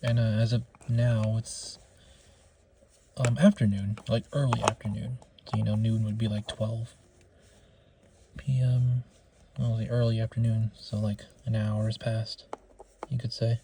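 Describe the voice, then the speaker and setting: Quiet and somewhat breathy, a man speaks in a dark, mellow tone with monotone, flat intonation at a fairly slow pace, leaving long, frequent pauses. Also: medium pitch for a man. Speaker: figure collector vlogger. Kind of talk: casual figure review vlog. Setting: in a closet at home. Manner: quiet, keeping voice down; halting, many fillers.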